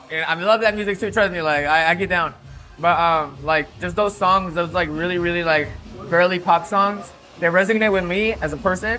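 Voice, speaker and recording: A high-pitched male voice at a moderate pace, with music in the background. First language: Spanish. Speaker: DJ and music producer. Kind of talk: casual interview chat. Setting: nightclub on location. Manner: animated, filler-heavy.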